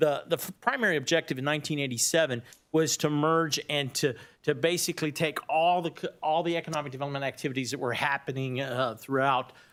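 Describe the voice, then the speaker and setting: This man speaks at a fairly quick clip with a Texas accent. His pitch sits fairly high and varies in an ordinary way. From Texas, Austin. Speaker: economic development executive. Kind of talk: presentation. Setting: county board meeting. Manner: fast.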